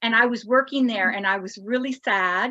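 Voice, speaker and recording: In a plain, everyday voice with a Canadian accent, the speaker talks at a fairly quick pace with ordinary pitch variation, and the sound is dry and close with no echo. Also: woman. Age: 60s. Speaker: pinup contestant and retro clothing shop owner. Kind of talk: podcast interview.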